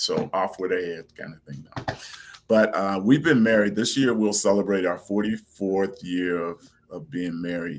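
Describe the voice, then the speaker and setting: In a normal speaking voice, a man with a fairly low pitch talks at a moderate pace, with ordinary pitch variation and big swings in loudness. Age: 60s. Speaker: interview guest, adoptive parent. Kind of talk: casual interview.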